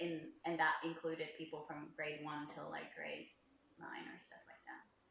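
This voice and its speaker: A woman's very deep, low voice at a moderate pace, monotone and flat, with big swings in loudness and audible room echo. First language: Finnish. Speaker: travel vlogger. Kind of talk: casual chat.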